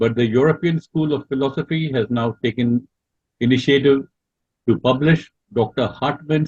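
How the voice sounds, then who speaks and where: Somewhat breathy, this man talks at a medium pitch. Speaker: lecturer on theosophy. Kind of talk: online Q&A talk. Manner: halting, many fillers.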